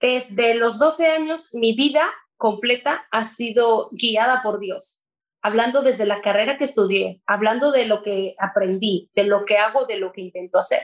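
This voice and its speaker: A woman talks at a fairly slow pace with a fairly high pitch. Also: ordinary pitch variation. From Mexico. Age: 20s. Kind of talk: testimony. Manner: talkative.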